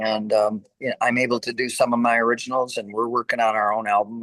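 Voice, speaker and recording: Speaking fairly quickly with an American accent, a man uses a bright, sharp tone at medium pitch with monotone, flat intonation. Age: 60s. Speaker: rock singer. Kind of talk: interview.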